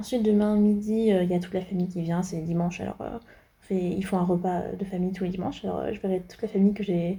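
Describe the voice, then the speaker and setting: Speaking very fast, a woman keeps a flat, monotone intonation at a medium pitch. Her tone is dark and mellow and somewhat breathy. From France. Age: 20s. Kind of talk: casual vlog talk to camera.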